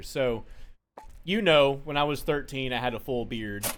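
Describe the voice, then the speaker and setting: Room echo is audible as a man talks. His pitch is fairly high and his pace fairly quick. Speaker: gaming streamer. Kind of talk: casual chat.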